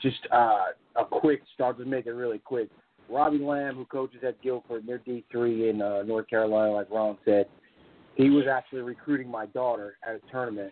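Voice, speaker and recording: Here is a normal speaking voice at a moderate pace. The intonation stays fairly even. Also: man. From Las Vegas, Nevada. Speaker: softball facility operator. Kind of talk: casual chat.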